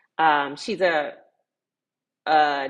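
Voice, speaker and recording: Speaking with an American accent, a woman keeps a very deep, low pitch and fairly even intonation. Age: 50s. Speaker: tiny house educator and livestream host. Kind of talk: live stream Q&A chat. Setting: livestream with chat. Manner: hesitant, many fillers.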